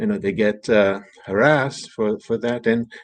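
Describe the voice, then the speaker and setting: A man speaks with a French accent. The background is quiet. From France. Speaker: author and bilingualism advocate. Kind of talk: panel interview. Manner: halting, many fillers and repetitions.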